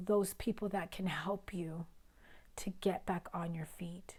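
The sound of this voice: A woman with a fairly low pitch and a raspy, slightly mellow tone speaks slowly with fairly even intonation.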